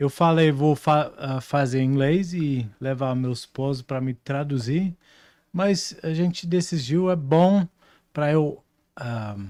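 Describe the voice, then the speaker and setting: On a very clean recording with a silent background, a man with a Dutch accent speaks at a very slow pace in a dark, mellow tone, his pitch fairly high and its variation ordinary. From Netherlands. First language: Dutch (speaking Portuguese). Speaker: prophet, preacher. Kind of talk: interview. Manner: halting, searching for words.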